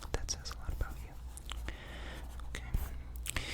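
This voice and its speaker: Soft-spoken whispering. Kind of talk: ASMR roleplay, whispered personality test. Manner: whispered, soft-spoken.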